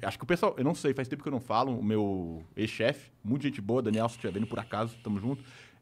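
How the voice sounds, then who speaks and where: A man races along at a very fast pace with hardly any pauses and ordinary pitch variation. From Brazil. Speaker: YouTuber. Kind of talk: casual chat. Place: studio. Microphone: studio mic.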